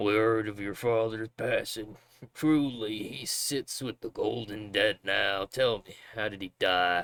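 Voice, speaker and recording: Putting on a character voice, a man speaks at a fairly slow pace and medium pitch, sounding raspy, gruff and gravelly, with big swings in loudness. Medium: game stream. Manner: gruff, hearty.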